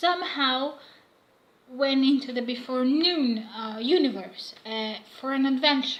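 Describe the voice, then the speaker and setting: Pitched high, a woman talks at a fairly slow pace with ordinary pitch variation and audible room echo. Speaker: fanfiction vlogger. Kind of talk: casual vlog monologue. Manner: halting, many fillers.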